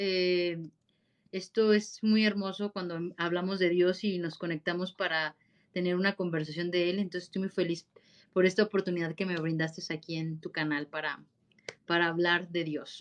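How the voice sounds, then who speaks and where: A woman's fairly low voice in a monotone, flat delivery. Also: moderate pace. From central Mexico, Guanajuato. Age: 30s. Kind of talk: interview conversation.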